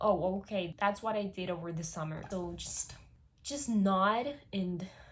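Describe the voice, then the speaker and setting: A woman with a Spanish accent, animated in tone, medium in pitch, fairly slow in pace, with ordinary pitch variation. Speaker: vlogger. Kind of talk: casual vlog monologue.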